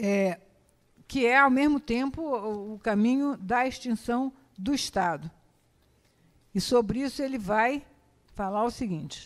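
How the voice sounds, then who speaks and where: Her voice is fairly high, with ordinary pitch variation. The woman goes at a fairly slow pace and takes long, frequent pauses. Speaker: historian giving a talk. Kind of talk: lecture. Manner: halting, many fillers and repetitions.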